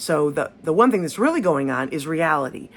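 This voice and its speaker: A woman with a very deep, low pitch at a fairly quick pace, with music in the background. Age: 60s. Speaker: spiritual teacher. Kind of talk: casual talk on spirituality, unedited monologue. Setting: home, cat nearby. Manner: halting, many fillers and restarts.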